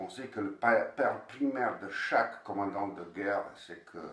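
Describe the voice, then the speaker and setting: A man at a very slow pace, with fairly even intonation and audible room echo. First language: Bosnian (speaking French). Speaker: novelist. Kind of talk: interview. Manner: halting, with many repeated words.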